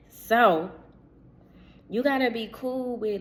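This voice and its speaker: Speaking at a very slow pace, a woman's voice carries audible room echo. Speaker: spiritual channel host. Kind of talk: spiritual reading monologue. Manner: casual, conversational.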